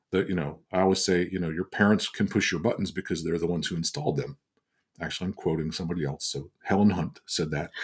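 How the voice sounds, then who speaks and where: Speaking at a very fast pace, a man with a very deep, low voice uses ordinary pitch variation. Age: 60s. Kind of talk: teaching talk on a livestream. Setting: livestream on social media.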